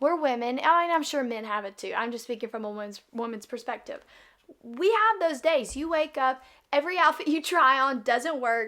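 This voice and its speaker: Her voice is raised and projected, a woman at a high pitch with lively intonation and a moderate pace. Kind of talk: casual faith talk monologue. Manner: halting, many fillers and restarts.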